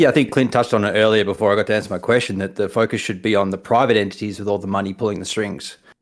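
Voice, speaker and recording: In a New Zealand accent, a man with a fairly low pitch talks very fast with hardly any pauses. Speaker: caller. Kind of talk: call-in conversation. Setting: remote call.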